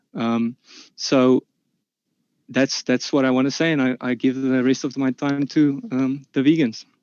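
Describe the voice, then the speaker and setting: In a South African accent, a man speaks at medium pitch and a fairly slow pace, his intonation monotone and flat, with long, frequent pauses. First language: Afrikaans. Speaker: omnivore debater. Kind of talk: online debate. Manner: halting, many fillers.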